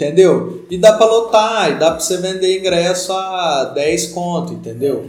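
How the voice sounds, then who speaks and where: With noticeable background noise and audible room echo, a high-pitched man talks at a moderate pace with ordinary pitch variation and hardly any pauses. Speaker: podcast host. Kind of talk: casual chat.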